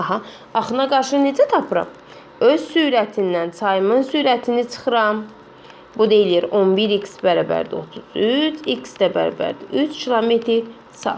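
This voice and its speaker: At a fairly slow pace, a woman with an unremarkable speaking voice uses lively intonation. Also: fairly high pitch for a woman. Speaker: math teacher. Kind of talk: tutorial.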